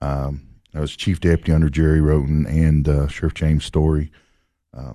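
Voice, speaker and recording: Against a quiet background, a man with a Tennessee accent talks at a fairly quick pace in a dark, mellow tone. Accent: Southern US (Tennessee). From Tennessee, Clay County. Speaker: county sheriff. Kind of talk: radio interview. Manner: halting.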